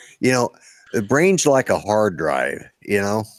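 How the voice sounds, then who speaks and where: A man in an ordinary speaking voice speaks at a moderate pace and fairly low pitch with lively intonation, the sound dry and close with no echo, on a very clean recording with a silent background. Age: 60s. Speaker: military veteran, drone livestream host. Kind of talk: casual livestream chat.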